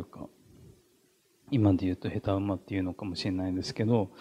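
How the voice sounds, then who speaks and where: A man's fairly low-pitched, dark, mellow voice with fairly even intonation. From Japan, Ishikawa; Japan. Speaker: artist. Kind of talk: gallery talk. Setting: gallery with audience. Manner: halting. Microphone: handheld.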